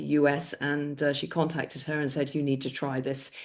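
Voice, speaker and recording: Talking at a fairly quick pace, a woman has a very deep, low pitch. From northwest England (Cheshire). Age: 60s. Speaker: skincare seller. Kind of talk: product demo.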